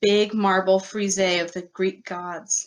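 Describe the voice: Someone reads the text aloud. The reading is plain.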